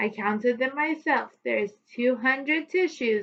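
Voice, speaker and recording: A woman's put-on character voice, pitched high. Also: moderate pace. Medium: read story.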